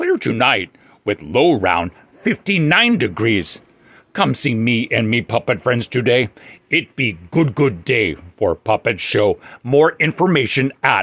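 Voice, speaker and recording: A man at medium pitch does a cartoonish character voice at a fairly slow pace. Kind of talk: puppet show comic character voice. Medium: puppet show. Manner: excited, cheerful, broken caveman grammar.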